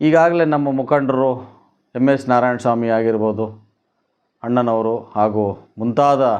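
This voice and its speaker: A man speaks at a medium pitch with very even loudness. His intonation stays fairly even. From Kolar district, Karnataka, India. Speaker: doctor and political aspirant. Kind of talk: campaign statement to press. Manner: halting.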